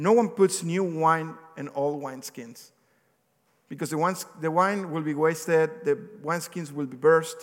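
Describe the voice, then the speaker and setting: A man with a non-native accent speaks at a moderate pace in a fairly high voice, his loudness rising and falling in big swings. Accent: non-native accent, remarked on by himself. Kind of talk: sermon. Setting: church with congregation. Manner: conversational, occasionally halting.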